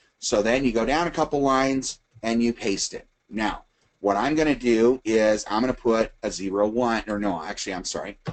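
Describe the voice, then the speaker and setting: This man has a normal speaking voice, talking at medium pitch and a moderate pace with ordinary pitch variation. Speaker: webinar presenter, retired firefighter. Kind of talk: tutorial. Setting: recorded webinar.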